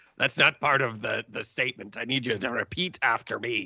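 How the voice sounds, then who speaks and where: Putting on a raspy character voice, a man speaks fairly quickly. His pitch sits in the medium range. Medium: actual play. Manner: folksy, hesitant.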